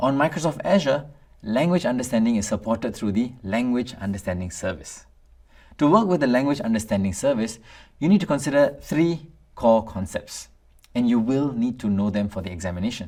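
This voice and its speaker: Speaking at a fairly quick pace in a Tamil accent, the voice comes through a very clean recording with a silent background. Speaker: instructor. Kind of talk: lecture. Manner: formal.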